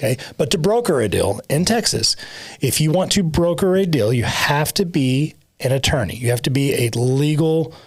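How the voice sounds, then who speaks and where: A man's fairly high voice, somewhat breathy, with lively intonation, very even loudness and a moderate pace. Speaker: title company owner and podcast co-host. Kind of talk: casual podcast chat. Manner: halting, self-correcting.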